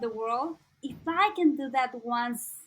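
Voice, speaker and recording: Spoken with a Mexican accent, the voice moves at a very slow pace with ordinary pitch variation. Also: woman. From Mexico, Veracruz (rural). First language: Spanish. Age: 20s. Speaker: content creator. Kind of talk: casual interview. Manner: halting.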